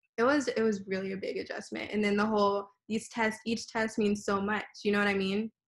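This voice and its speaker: A woman speaks at a fairly quick pace in a somewhat breathy voice with monotone, flat intonation. The background is quiet. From Texas, Houston. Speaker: dental student. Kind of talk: interview. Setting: video call. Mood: relaxed, reflective. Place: home room. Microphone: video call.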